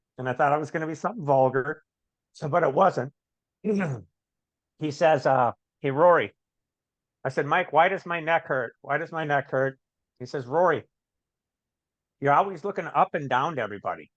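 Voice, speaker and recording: A man's fairly high voice at a fairly quick pace, with long, frequent pauses and ordinary pitch variation. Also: dry, close sound with no echo. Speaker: recovering addict, author and business owner. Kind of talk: podcast interview. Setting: video call. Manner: fast; animated.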